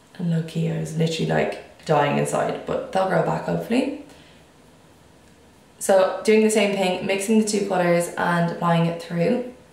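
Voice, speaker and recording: The speech moves at a moderate pace with ordinary pitch variation, amid noticeable background noise and audible room echo. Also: woman, medium pitch for a woman. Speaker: beauty vlogger. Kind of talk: makeup tutorial. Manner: casual chatty.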